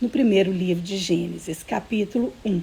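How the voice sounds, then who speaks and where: Over noticeable background noise, a woman at medium pitch talks at a fairly slow pace with lively intonation. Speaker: children's Bible teacher. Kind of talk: online Bible lesson for kids. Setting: livestream. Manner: slow, patient.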